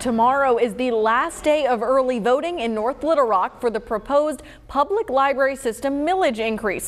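With an American accent, a woman speaks at a fairly quick pace and a high pitch. Her intonation is lively, and noticeable background noise runs underneath. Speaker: TV news anchor. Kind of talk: TV news anchor read.

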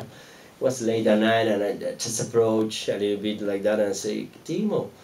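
Amid light background noise and audible room echo, a man speaks at a fairly slow pace with fairly even intonation. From Argentina. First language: Spanish. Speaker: film director; guest. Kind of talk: audience Q&A after a film screening. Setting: stage with audience at a cinema. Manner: halting, repeats words. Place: stage.

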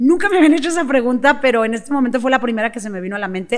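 Lively intonation from a woman, with a quiet background. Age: 50s. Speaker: sales coach. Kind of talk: interview. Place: studio. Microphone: studio mic.

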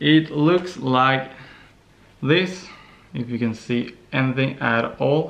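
Speaking with a Norwegian accent, a man at medium pitch talks at a very slow pace, with ordinary pitch variation and long, frequent pauses. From Norway. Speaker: vlogger. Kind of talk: casual vlog. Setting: on the couch. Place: home room. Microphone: phone near.

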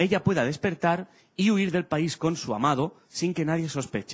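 High-pitched male speech, moderately paced, with normal pitch movement. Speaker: stand-up comedian. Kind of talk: stand-up comedy monologue. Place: stage. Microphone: handheld.

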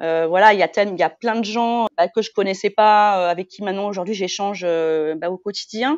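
A woman has a normal speaking voice at medium pitch with ordinary pitch variation. She keeps a moderate pace with hardly any pauses. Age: 40s. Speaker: mother sharing weight-loss story. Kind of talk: casual interview.

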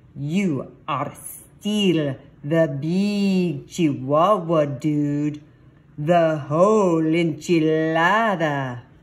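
A put-on character voice with a Spanish accent speaks at a very slow pace and a middle pitch. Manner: playful, joking, putting on an accent.

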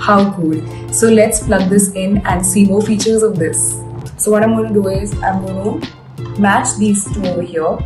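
Clear music can be heard behind the speaker. She is a woman talking at a moderate pace. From India. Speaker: actress and model reviewing a product; actress, model reviewing a product. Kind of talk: product unboxing review. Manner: animated. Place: home room.

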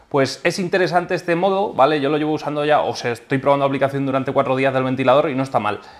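Very fast delivery from a man, his pitch moving in an ordinary way. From Spain, Albacete (La Mancha); Spain. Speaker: aquarium YouTuber. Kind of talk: product review tutorial. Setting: home aquarium room. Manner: animated. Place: home room. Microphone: phone near.

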